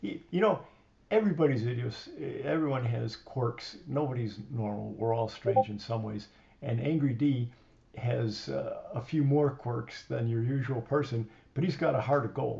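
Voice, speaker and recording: Medium-pitched male voice, somewhat breathy and dark, mellow in tone, with ordinary pitch variation at a moderate pace. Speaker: live streamer. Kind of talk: casual chat. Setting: live stream. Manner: slurred enunciation; halting with fillers.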